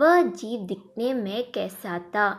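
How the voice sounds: A woman's cartoonish character voice at a medium pitch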